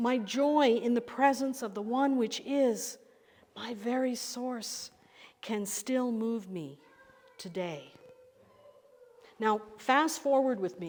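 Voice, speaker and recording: A woman with a high pitch speaks very slowly, leaving long, frequent pauses. Her pitch varies in an ordinary way, and audible room echo surrounds her. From Northern Ireland, Belfast. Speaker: pastor. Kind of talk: sermon.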